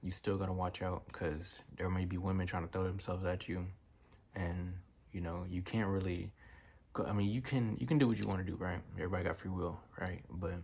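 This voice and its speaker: A relaxed, somewhat breathy man with a very deep, low pitch, on a very clean recording with a silent background. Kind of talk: casual motivational talk to camera. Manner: casual, relaxed.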